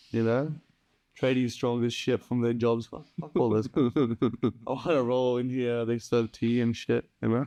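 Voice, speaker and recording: In an Australian accent, a man speaks at a fairly slow pace with a dark, mellow tone, the sound dry and close with no echo. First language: Punjabi. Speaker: podcast co-host. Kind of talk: casual chat.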